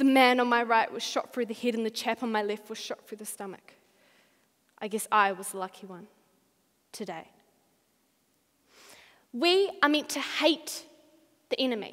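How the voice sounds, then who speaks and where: Against a quiet background, the speaker keeps a moderate pace, with big swings in loudness and long, frequent pauses. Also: woman. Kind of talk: memorized speech performance. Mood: solemn, dramatic war storytelling. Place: hall. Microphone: headset.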